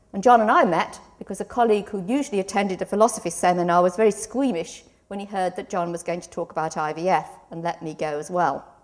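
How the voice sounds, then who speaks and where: A woman talks at a very fast pace, her medium pitch moving with ordinary variation while her loudness swings widely. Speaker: law professor. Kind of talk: conference talk. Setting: conference stage with audience.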